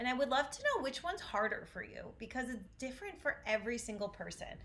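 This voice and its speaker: A woman's high-pitched, lively voice in an American accent, very fast, over noticeable background noise. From US Northeast, Syracuse, New York. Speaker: vocal coach. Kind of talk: online voice lesson. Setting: livestream.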